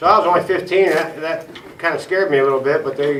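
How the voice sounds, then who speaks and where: Noticeable background noise and audible room echo fill the recording. A man with an Ohio accent talks at a very fast pace with ordinary pitch variation. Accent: Midwestern US (Ohio). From Ohio, Tuscarawas County. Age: 40s. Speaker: recovering alcoholic speaker. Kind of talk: recovery meeting testimony. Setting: small meeting room with audience. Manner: casual, halting with fillers.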